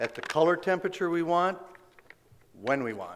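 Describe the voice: The intonation is lively. A man speaks at a moderate pace.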